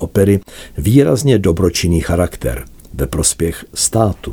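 A man's very deep, low voice with a dark, mellow tone and vocal fry, lively intonation at a fairly slow pace. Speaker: music journalist. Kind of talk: scripted narration.

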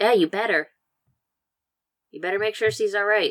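At a moderate pace, a man does a put-on character voice pitched high. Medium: actual play.

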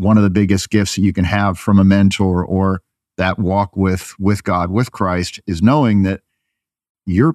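Very deep, low-pitched man's voice with an American accent, fairly even intonation and a moderate pace, dry and close with no echo over a quiet background. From upstate New York. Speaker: advertising agency executive. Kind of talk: casual interview.

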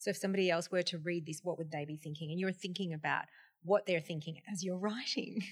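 A woman speaks very fast in a fairly low, somewhat breathy voice. Her tone is animated. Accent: Australian. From Australia. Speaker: podcast host, wellness presenter. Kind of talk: interview.

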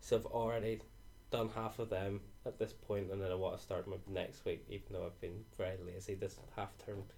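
In a Northern Irish accent, a man speaks at a fairly quick pace. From Northern Ireland. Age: 20s. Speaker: university student. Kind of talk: casual chat.

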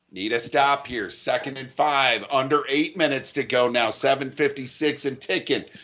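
A plain, everyday voice moves at a fairly slow pace with fairly even intonation and hardly any pauses. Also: man, fairly high pitch for a man. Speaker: radio play-by-play announcer. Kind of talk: live radio sports commentary, play-by-play calling with rallying calls to listeners. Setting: high school football stadium broadcast on radio, humid misty night. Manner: warm, encouraging, addresses listeners directly.

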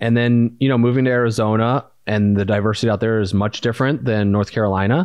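Fairly even intonation from a man talking at a very fast pace. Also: medium pitch for a man. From US Midwest, Indiana. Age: 30s. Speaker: podcast co-host and entrepreneur. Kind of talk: casual chat.

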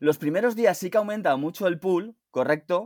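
On a very clean recording with a silent background and a dry, close sound with no echo, a man speaks at a high pitch with ordinary pitch variation. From Spain, Alicante. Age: 50s. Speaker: DeFi analyst and former banker. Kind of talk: interview.

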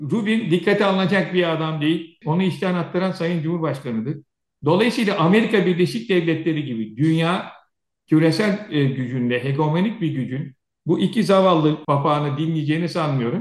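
A man with a fairly high voice talks at a moderate tempo, his pitch shifting in an ordinary way. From Turkey, Aegean region (Söke). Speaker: retired air force officer and security analyst. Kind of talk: interview. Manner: animated.

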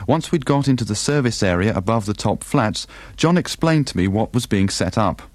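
A man speaks at a fairly quick pace with a normal speaking voice. His pitch is medium and his intonation lively. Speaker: documentary maker and presenter. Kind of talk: documentary narration and podcast chat.

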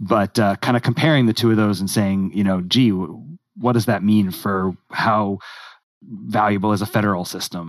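In a normal speaking voice, a man with an American accent talks at a moderate pace and fairly low pitch, with ordinary pitch variation, over a quiet background. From United States. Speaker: guest, friend of the host. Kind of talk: casual discussion.

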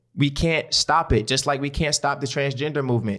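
A man with a medium-pitched voice speaks at a moderate pace with fairly even intonation, recorded very cleanly against a silent background. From West Baltimore, Maryland. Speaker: podcast host, former junior college football player. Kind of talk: casual chat.

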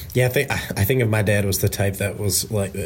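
The man's voice comes across as somewhat breathy. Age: 20s. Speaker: sales engineer. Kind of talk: casual chat. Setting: remote call. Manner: halting.

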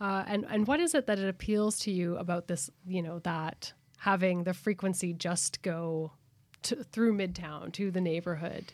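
A woman with a Canadian accent has an unremarkable speaking voice at a medium pitch. She speaks at a fairly slow pace with ordinary pitch variation. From Alberta, Canada. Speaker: community radio host and producer. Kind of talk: casual radio conversation. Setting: radio booth in a library.

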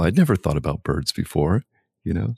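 Against a quiet background, a man with a very deep, low pitch and vocal fry talks at a fairly quick pace. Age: 50s. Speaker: priest. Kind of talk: casual chat. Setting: home, birds in background.

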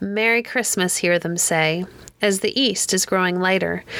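A woman at a medium pitch speaks at a very slow pace, her tone both warm and soothing and bright and sharp. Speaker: podcast host reading poems. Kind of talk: poem reading, gentle scripted narration. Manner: warm, lilting, sing-song cadence; soothing, measured.

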